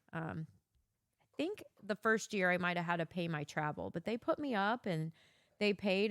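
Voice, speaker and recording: The sound is dry and close with no echo. A woman speaks at a moderate pace, her medium pitch carried by lively intonation. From Missouri. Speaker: podcast co-host, former event producer. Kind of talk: casual chat. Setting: home basement. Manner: clear enunciation, good inflection.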